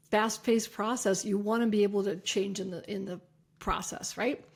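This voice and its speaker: The voice is somewhat breathy and moves at a fairly quick pace. Its intonation stays fairly even. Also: woman, very clean recording, silent background. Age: 50s. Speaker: chiropractor and podcast host. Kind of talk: solo podcast talk. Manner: fast; casual.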